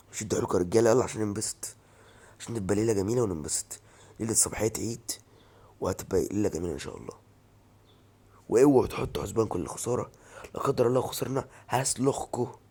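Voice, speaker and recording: A man with an Egyptian accent, medium pitch, an animated tone and ordinary pitch variation, at a fairly quick pace broken by long, frequent pauses. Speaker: football fan commentator. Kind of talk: opinion vlog rant.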